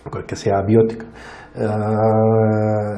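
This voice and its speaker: A man with a non-native accent speaks at a medium pitch. The room echo is audible and the background noise is noticeable. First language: not Spanish (speaking Spanish). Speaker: plant disease scientist. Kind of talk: Q&A after a lecture. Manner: halting, many fillers and restarts.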